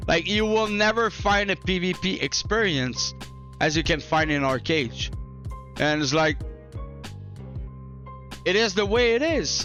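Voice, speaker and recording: A man speaks with a non-native accent while music plays in the background. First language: not English. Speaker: gaming YouTuber. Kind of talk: casual talk to camera. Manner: casual, chill.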